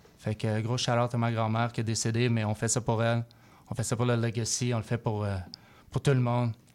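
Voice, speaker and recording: A monotone, flat delivery at a fairly quick pace, with a Quebec accent. The recording is very clean, with a silent background. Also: man. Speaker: rapper. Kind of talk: interview. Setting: studio. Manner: mixes English phrases.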